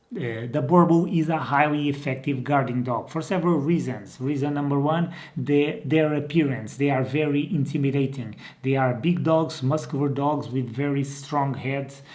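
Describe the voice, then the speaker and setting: Over audible room echo, a man with a fairly high voice talks at a moderate pace with fairly even intonation and hardly any pauses. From Portugal. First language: Portuguese. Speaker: dog breeder and trainer. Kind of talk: informal video tutorial. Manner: hesitant, with many fillers and restarts.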